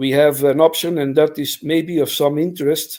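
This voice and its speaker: Speaking at a fairly slow pace, a man with an unremarkable speaking voice keeps a fairly high pitch and fairly even intonation. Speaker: library software developer. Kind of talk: technical presentation.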